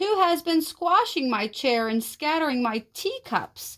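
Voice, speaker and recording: A woman's put-on character voice at an extremely high pitch and fairly slow pace. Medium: read story.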